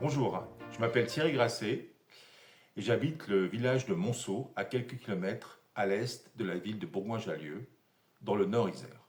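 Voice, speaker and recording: Somewhat breathy and medium in pitch, a man speaks at a moderate pace with lively intonation and long, frequent pauses. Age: 60s. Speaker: amateur history lecturer, retired engineer. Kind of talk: scripted presentation.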